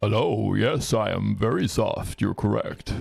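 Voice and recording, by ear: Putting on a raspy character voice, a man talks at a fairly low pitch and a moderate pace.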